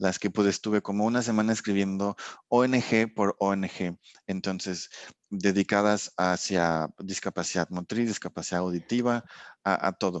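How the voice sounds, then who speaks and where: A man speaks in a plain, everyday voice at a fairly low pitch and a fairly slow pace. His intonation is fairly even and his loudness very even. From Mexico. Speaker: sensory and consumer research scientist. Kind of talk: casual interview chat.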